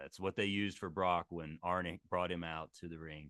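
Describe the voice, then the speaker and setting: Very deep and low, a man's voice carries an American accent, moving at a moderate pace with fairly even intonation. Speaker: pro wrestling ring announcer. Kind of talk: casual talk to camera.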